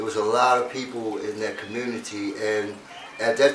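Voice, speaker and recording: Against noticeable background noise and audible room echo, a man talks at a medium pitch with fairly even intonation. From US, Baltimore, Maryland. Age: 60s. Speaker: interview guest. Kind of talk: casual interview.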